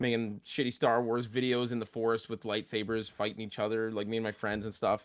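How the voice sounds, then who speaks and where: In a very clean recording with a silent background, a man talks at a fairly quick pace in a medium pitch, an ordinary speaking voice. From Canada. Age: 20s. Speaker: streamer. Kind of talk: casual chat.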